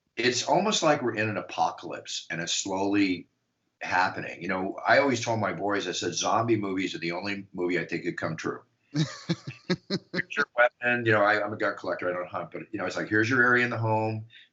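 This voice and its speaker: With an American accent, a man uses a plain, everyday voice, lively intonation and a fairly quick pace. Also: fairly low pitch for a man. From United States. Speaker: MMA ring announcer. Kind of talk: podcast interview answer.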